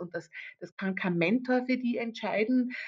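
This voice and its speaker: A woman speaks at a moderate pace, her voice somewhat breathy. Her intonation is lively. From Austria, Carinthia. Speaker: event manager. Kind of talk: interview. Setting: video call. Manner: halting.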